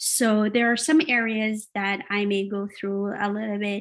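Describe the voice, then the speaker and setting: At a fairly slow pace, a woman speaks with a Jamaican accent and a fairly high pitch. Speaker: workshop facilitator and business owner. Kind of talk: online workshop presentation. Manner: halting, many filler sounds.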